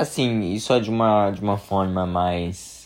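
A man speaks very slowly in a fairly low pitch. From Brazil, São Paulo. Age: 20s. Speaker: podcast host. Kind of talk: personal monologue. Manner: halting, many fillers.

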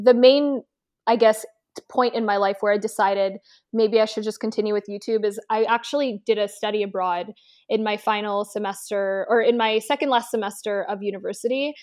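A woman with a Canadian accent speaks at a fairly quick pace and a fairly high pitch, with fairly even intonation. It's a plain, everyday voice. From Canada, Toronto. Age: 20s. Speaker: beauty and lifestyle content creator. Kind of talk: casual interview.

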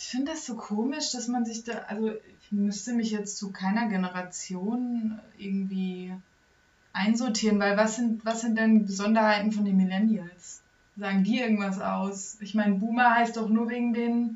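A somewhat breathy voice carries fairly even intonation. Its pace is moderate. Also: woman, fairly high pitch for a woman. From Germany, small town. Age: 20s. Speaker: university student and guest on parent's podcast. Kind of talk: casual chat.

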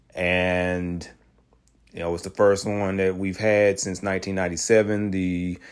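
The recording is very clean, with a silent background. A man with a fairly low voice speaks at a moderate pace in a monotone, flat delivery. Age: 30s. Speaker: YouTube film reviewer. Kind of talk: solo spoiler review monologue. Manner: halting, many fillers and repetitions.

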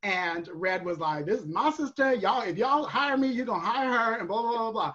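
Over noticeable background noise, a woman with a fairly high pitch talks at a very fast pace, her tone animated and her intonation lively. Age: 30s. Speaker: drag performer and virtual bingo host. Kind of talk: casual chat. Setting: video call.

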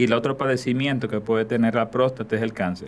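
A man's medium-pitched voice at a moderate pace, monotone with flat intonation. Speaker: urologist and oncologist. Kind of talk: interview, medical explanation.

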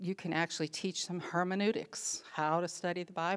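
The voice belongs to a woman. She talks at a moderate pace. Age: 60s. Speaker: women's ministry speaker. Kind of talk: conference talk.

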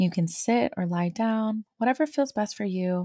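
Recorded very cleanly against a silent background, with a dry, close sound and no echo, a woman speaks fairly slowly in a somewhat breathy voice, her tone soothing, gentle, dark and mellow and her intonation lively. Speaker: meditation guide. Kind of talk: guided meditation. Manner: slow, soothing and gentle, with calm unhurried pacing and soft pauses.

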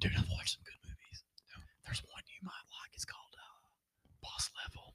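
Someone is whispering at a fairly quick pace. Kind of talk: casual chat.

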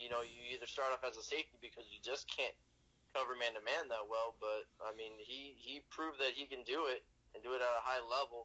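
A man's ordinary speaking voice, medium in pitch, fairly even in intonation and fairly quick in pace. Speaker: sports podcast co-host. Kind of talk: casual chat. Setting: phone call. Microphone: on speakerphone.

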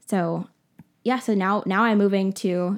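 Recorded very cleanly against a silent background, a woman with an American accent speaks in a plain, everyday voice of medium pitch with fairly even intonation. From Florida, Orlando. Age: young. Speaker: podcast host, young entrepreneur. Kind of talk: casual interview, telling her story. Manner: casual, filler-heavy (um, like).

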